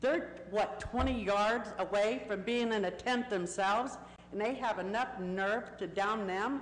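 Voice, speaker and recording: Amid audible room echo, a woman speaks at a fairly slow pace with ordinary pitch variation. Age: 60s. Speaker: member of the public speaking at a council meeting. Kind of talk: public comment testimony. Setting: city council chamber.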